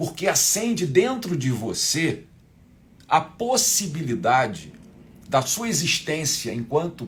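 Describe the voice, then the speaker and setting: Speaking very slowly, a man with a fairly high pitch swings his voice very widely up and down. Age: 60s. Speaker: spiritual teacher. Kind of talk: live online class. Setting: livestream.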